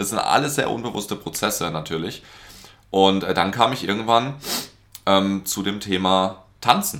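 With long, frequent pauses, a man speaks at a fairly slow pace in a fairly low pitch, using ordinary pitch variation. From Baden, Germany (Karlsruhe). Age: 30s. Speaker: business coach. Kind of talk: casual interview chat. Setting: in a home apartment.

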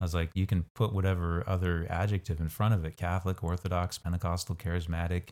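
A very fast, very deep and low male voice with a dark, mellow tone, in a very clean recording with a silent background. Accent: Midwestern US. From Kansas, US. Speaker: bishop and college faculty member. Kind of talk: casual interview chat.

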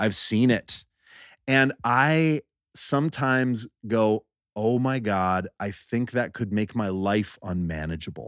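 On a very clean recording with a silent background and a dry, close sound with no echo, a man at medium pitch speaks at a very slow pace with ordinary pitch variation. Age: 40s. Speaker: musician. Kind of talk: casual chat.

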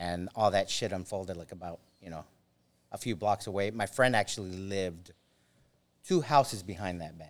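A man's fairly low voice, an ordinary speaking voice, at a moderate pace with ordinary pitch variation and big swings in loudness, on a very clean recording with a silent background. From Los Angeles, US, Mexican heritage. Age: 40s. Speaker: army veteran. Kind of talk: casual interview storytelling. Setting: studio.

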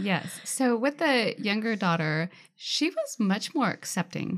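A woman with an American accent and very wide pitch swings. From Washington State, Tacoma area. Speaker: birth mother. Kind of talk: casual chat. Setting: studio.

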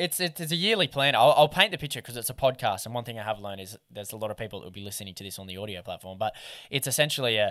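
A man with a bright, sharp tone and ordinary pitch variation is heard in a very clean recording with a silent background. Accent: Australian. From Australia, Newcastle / Lake Macquarie NSW. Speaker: fishing content creator and podcast co-host. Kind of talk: casual interview chat.

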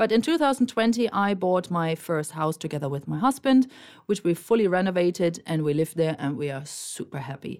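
A woman's fairly low voice with a German accent and very wide pitch swings, on a very clean recording with a silent background. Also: fairly quick pace. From Germany. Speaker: podcast co-host. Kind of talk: casual chat. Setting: studio.

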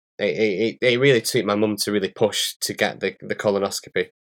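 This man has a strong northern English accent, and the sound is dry and close with no echo. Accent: strong northern English (Bolton). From northern England. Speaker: patient co-host living with arthritis. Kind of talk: casual conversation. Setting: remote call.

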